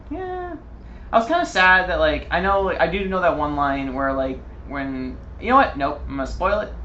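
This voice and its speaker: Male speech at an unhurried, medium tempo amid noticeable background noise and audible echo from the room. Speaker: gaming video podcast co-host. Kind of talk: casual chat. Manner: whispering at times; animated. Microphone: poor audio quality.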